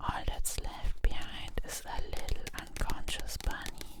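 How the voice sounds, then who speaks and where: A woman whispers in a calm tone at a very slow pace. Noticeable background noise sits behind her. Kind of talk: whispered ASMR manga recap and review. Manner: whispered, soft-spoken; calm, cozy, relaxing.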